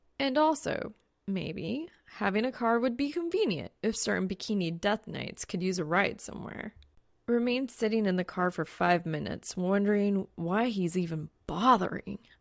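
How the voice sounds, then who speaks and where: A woman with a normal speaking voice at a medium pitch, moderate pace and lively intonation. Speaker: fan fiction audiobook reader. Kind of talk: audiobook narration.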